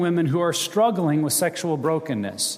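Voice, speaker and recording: The speaker is a man with an American accent. His pitch sits high. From Montana and Wyoming, US. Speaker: ministry director and guest preacher. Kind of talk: sermon. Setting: church stage with audience.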